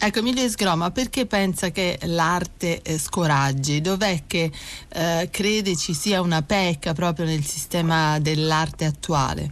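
Speaking at a fairly slow pace, a woman has a fairly low pitch and ordinary pitch variation. Her loudness stays very even. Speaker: radio host. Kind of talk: interview. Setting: studio. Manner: hesitant with fillers.

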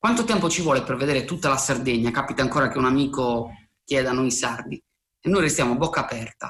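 A man with a medium pitch talks at a very fast pace, with ordinary pitch variation. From Sardinia, near Cagliari. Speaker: writer. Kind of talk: recorded commentary.

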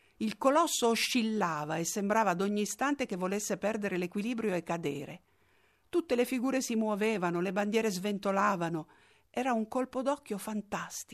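Against a quiet background, a woman with a normal speaking voice talks at a fairly quick pace and medium pitch with lively intonation. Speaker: documentary narrator. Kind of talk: scripted narration.

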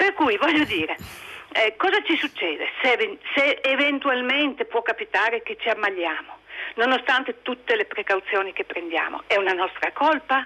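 A woman talks at a moderate pace. Her voice is high and leaps through very wide pitch swings. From Friuli, Pordenone area. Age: 60s. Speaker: caller. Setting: phone call.

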